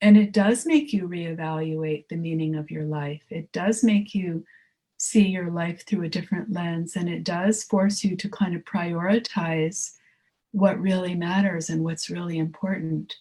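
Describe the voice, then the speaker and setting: The voice has a dark, mellow tone, somewhat breathy, with fairly even intonation at a fairly slow pace. Its loudness swings widely. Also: woman, fairly low pitch for a woman. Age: 60s. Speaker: artist and creativity teacher. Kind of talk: casual chat. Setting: podcast.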